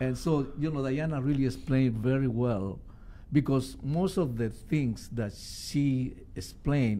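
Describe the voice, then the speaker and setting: A man's medium-pitched voice in a Spanish accent, with a dark, mellow tone, ordinary pitch variation and a fairly slow pace. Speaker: musician. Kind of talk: radio interview. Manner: halting.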